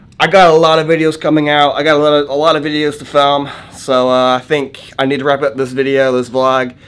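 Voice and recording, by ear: A man speaks at a fairly quick pace in a fairly high, fairly bright voice with monotone, flat intonation.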